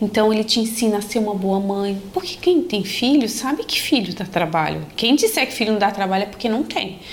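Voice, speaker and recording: A woman with a fairly high pitch talks at a fairly quick pace with lively intonation and hardly any pauses. Noticeable background noise is present. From Brasília, Brazil, family from Paraíba. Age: 30s. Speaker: lawyer, church member. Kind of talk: testimony.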